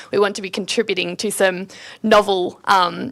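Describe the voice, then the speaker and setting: A woman speaks with an Australian accent. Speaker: PhD student giving talk. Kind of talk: presentation to students. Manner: loud.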